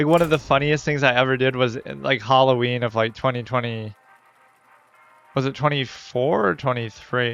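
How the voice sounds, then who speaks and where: Medium-pitched male voice at a moderate pace, fairly even in intonation, with music playing behind. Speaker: gaming streamer. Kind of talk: casual gameplay commentary. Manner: monotone.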